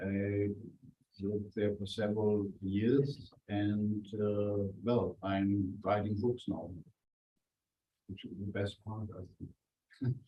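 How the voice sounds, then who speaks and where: The man's voice is somewhat breathy. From Germany, Franconia. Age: 60s. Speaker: journalist and author. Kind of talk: guest talk to students.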